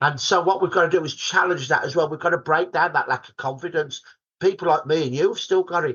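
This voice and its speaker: A man with a Birmingham accent talks at a very fast pace. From Birmingham, England. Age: 60s. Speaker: historian. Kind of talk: podcast interview.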